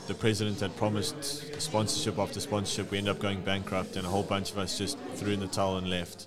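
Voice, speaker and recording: The speech moves at a very fast pace with ordinary pitch variation over noticeable background noise. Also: man. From South Africa. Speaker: professional rugby player. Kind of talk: casual interview.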